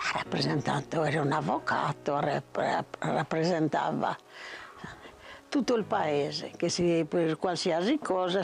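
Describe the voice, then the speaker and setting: A very slow delivery with ordinary pitch variation. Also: woman. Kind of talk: interview answer.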